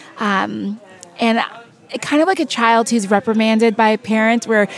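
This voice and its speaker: The speaker has an American accent and talks at a fairly quick pace. Noticeable background noise runs underneath. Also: woman. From California. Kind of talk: interview.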